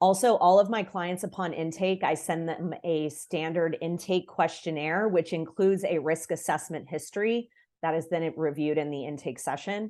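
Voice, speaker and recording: A woman with a fairly low pitch and a dark, mellow tone talks with hardly any pauses over a quiet background. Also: ordinary pitch variation, moderate pace. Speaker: family therapist. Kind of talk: workshop presentation.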